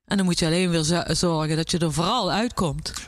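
A woman uses a normal speaking voice, fairly low in pitch with ordinary pitch variation, at a fairly quick pace. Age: 50s. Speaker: chef and restaurant owner. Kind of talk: interview.

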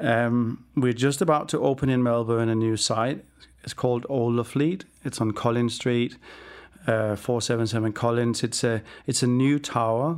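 A man with a Danish accent, medium pitch and fairly even intonation at a moderate pace, in a very clean recording with a silent background. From Denmark. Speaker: business founder. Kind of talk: interview. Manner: halting.

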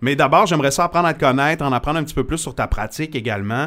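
A man talks in an ordinary speaking voice at a fairly high pitch. His pitch varies in an ordinary way. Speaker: radio host and podcast host. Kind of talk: casual interview. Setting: studio.

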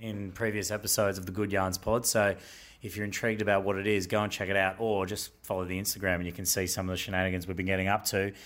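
In an Australian accent, a man speaks. His pace is very fast. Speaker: podcast host. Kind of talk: casual storytelling chat, intro and outro. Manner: casual, humorous.

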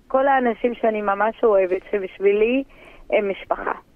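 This woman's voice is fairly high, with ordinary pitch variation. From Druze village on Mount Carmel, northern Israel. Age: 40s. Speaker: interviewee, local hero. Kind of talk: interview testimony.

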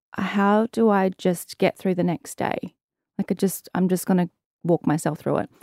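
In an Australian accent, the voice moves at a moderate pace with fairly even intonation. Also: woman, medium pitch for a woman. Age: 30s. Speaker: activewear founder and content creator. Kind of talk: casual interview chat.

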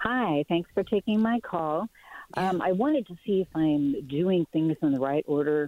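A woman with a normal speaking voice talks at a fairly slow pace. Her pitch sits fairly low with ordinary pitch variation. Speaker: caller. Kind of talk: casual chat. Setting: phone call.

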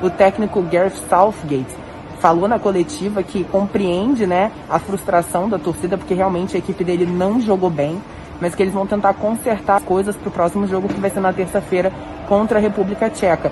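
A woman talks at a fairly quick pace with fairly even intonation over noticeable background noise. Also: medium pitch for a woman. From Brazil. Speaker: sports reporter. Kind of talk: field report. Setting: empty stadium after match.

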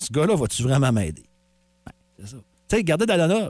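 A man talks at a fairly quick pace with a Quebec accent. His pitch swings very widely. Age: 40s. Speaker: morning radio host. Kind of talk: casual radio banter. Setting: radio studio.

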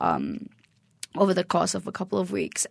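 The speaker is a woman with a Malaysian accent. Her pitch sits in the medium range. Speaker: stand-up comedian. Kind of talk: casual interview. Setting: studio.

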